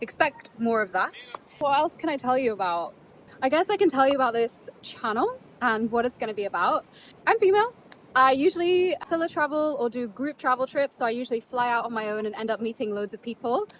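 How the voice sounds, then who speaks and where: A woman's high voice moves through very wide pitch swings. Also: fairly quick pace. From England (Yorkshire), from age 8; early childhood in Netherlands. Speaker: travel vlogger. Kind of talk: casual vlog talk to camera. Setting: outdoors on a beach. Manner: casual, chatty.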